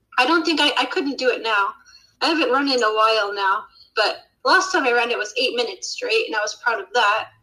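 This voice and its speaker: In an American accent, a woman raises and projects her high-pitched voice, with very wide pitch swings. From Utah, US. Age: 30s. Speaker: YouTuber. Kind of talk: casual chat.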